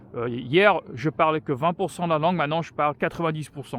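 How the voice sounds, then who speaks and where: With an English accent, a man of fairly high pitch talks at a moderate pace with ordinary pitch variation in a dry, close sound with no echo. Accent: English-speaker accent in French. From France. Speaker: vlogger. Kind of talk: casual personal vlog talk while walking. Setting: outdoors on a walk. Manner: halting, many hesitations.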